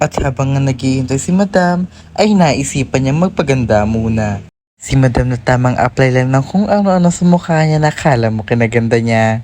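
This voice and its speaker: Her very deep, low pitch carries lively intonation as the woman speaks at a fairly quick pace. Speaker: lifestyle vlogger. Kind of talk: casual vlog chat. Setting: quiet cafe. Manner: soft-spoken, quiet.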